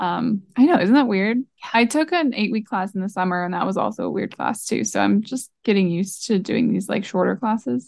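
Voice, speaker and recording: A woman talks at a fairly quick pace. Her voice has vocal fry. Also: medium pitch for a woman, lively intonation. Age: 20s. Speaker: marketer and podcast co-host. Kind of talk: casual chat.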